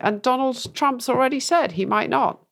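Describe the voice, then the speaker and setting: In a strong British accent, a woman speaks at a moderate pace. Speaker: podcast co-host. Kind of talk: casual political discussion.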